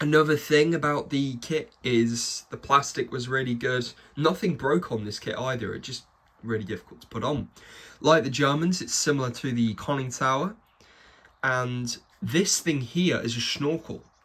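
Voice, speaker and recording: At a moderate pace, a man with a medium pitch and ordinary pitch variation speaks in an enthusiastic tone. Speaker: model kit reviewer. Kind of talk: product review. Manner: casual, enthusiastic.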